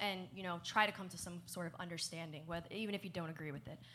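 In an American accent, the voice has a bright, sharp tone and moves at a very fast pace. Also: woman. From New Jersey. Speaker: esports show co-host and panel moderator. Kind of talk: panel discussion.

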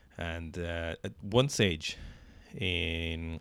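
In an Irish accent, a man speaks with a very deep, low pitch and fairly even intonation, captured in a very clean recording with a silent background. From Ireland. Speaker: podcast co-host, CrossFit athlete. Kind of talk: casual chat.

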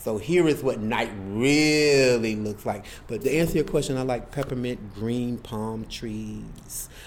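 With an American accent, a man speaks at a very slow pace, his medium pitch showing ordinary variation. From Florida, near Lake Okeechobee. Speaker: writer. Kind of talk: casual conversation. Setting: library.

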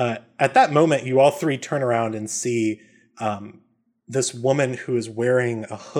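Against a quiet background, the clip carries a natural reading voice.

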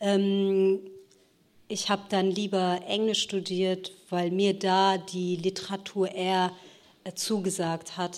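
The speech moves at a very slow pace. Its intonation is monotone and flat. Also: woman, medium pitch for a woman. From Ruhr area, Germany (since age 10). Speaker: novelist. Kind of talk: panel discussion. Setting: stage with audience.

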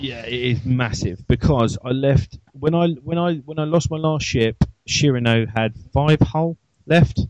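In an English accent, a man speaks at a fairly slow pace with a medium pitch. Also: ordinary pitch variation. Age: 30s. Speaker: podcast host. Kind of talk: casual chat.

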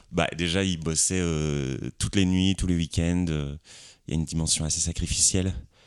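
In a very clean recording with a silent background, a man with a very deep, low pitch talks at a moderate pace with fairly even intonation. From France, Lorraine. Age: 30s. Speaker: actor. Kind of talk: casual chat. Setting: living room. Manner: halting.

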